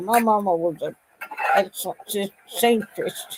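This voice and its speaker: A woman speaks with a Southern US accent. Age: 80s+. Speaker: retired grandmother vlogger. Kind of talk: casual live stream chat. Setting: live stream at home. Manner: halting.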